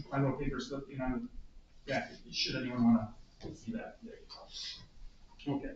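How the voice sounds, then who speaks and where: Lively intonation runs through the speech, with noticeable background noise behind it. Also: man. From US Midwest, Toledo, Ohio. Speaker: author and theater lecturer. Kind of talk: talk to a group.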